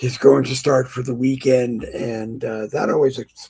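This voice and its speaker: A quiet man at a medium pitch speaks at a fairly slow pace. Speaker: livestream talk show host. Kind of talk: casual political talk livestream. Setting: home livestream. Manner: quiet, keeping voice down; hesitant with fillers.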